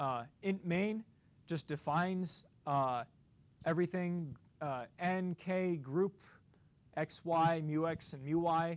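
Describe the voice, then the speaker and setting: Over a quiet background, a man speaks with a fairly high voice and ordinary pitch variation. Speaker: graduate student lecturer. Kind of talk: lecture.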